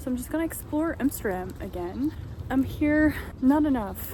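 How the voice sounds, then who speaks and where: A woman is speaking. Audible room echo can be heard around her voice. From Netherlands. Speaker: vlogger. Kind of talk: casual vlog. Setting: outdoors in city; gym. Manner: soft-spoken.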